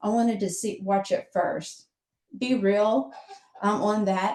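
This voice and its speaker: A woman's plain, everyday voice at a moderate pace, with fairly even intonation. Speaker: social media manager. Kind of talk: webinar presentation.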